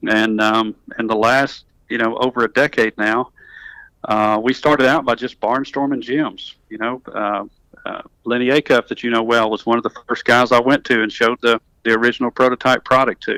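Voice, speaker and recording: On a very clean, dry, close recording with a silent background and no echo, a man with a Southern accent speaks at a medium pitch and moderate pace in a bright, sharp, monotone voice. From US South, North Alabama. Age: 50s. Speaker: tech company executive, engineer. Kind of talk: interview. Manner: many fillers and restarts.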